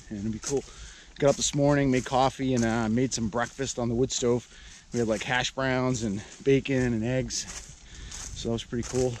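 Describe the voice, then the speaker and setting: A man's monotone, flat delivery at a moderate pace, broken by long, frequent pauses, with dry sound with no echo and light background noise. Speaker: vlogger. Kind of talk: casual vlog chat. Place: forest. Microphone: phone near.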